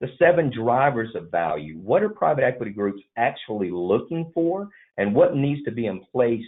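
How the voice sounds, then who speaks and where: With a Southern US accent, this voice moves at a moderate pace through very wide pitch swings. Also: man. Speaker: M&A advisory firm vice president. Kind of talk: business webinar presentation.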